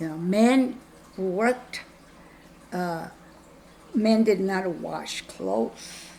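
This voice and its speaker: Speaking at a very slow pace with long, frequent pauses, a woman with a medium pitch shows big swings in loudness over noticeable background noise. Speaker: spiritual guide. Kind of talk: interview, personal storytelling. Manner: halting, many restarts and fillers.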